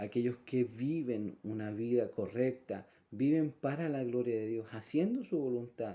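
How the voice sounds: A man talks at a fairly slow pace and medium pitch, with a dark, mellow tone and ordinary pitch variation.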